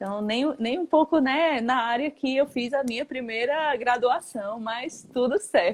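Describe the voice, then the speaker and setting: A woman's high-pitched voice with ordinary pitch variation and a northeastern Brazilian accent, at a fairly slow pace with hardly any pauses. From Northeast Brazil, Paraíba. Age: 20s. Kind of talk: casual chat. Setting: Instagram live.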